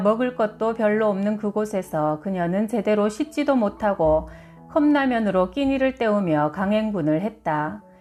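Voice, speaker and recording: Over background music, a woman with a fairly high voice speaks fairly slowly with lively intonation. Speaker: audiobook reader, publisher. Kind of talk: book reading, health narration.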